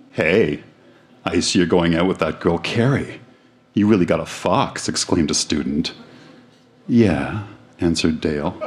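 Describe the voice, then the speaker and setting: Noticeable background noise sits behind a man whose pitch is very deep and low. He speaks at a moderate pace with ordinary pitch variation and long, frequent pauses. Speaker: live reader of old school essay. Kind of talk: spoken word, reading aloud then reflective chat. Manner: halting, reflective, slightly hesitant.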